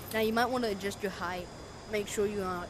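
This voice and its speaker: Noticeable background noise and audible room echo surround a woman speaking at a fairly quick pace with monotone, flat intonation. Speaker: gaming youtuber. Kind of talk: gameplay tutorial. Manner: casual, halting with fillers.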